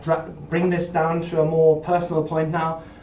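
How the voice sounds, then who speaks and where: With a German accent, a man with a high pitch speaks at a moderate pace amid audible room echo. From Germany. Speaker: startup founder pitching. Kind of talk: pitch presentation. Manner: hesitant, with fillers.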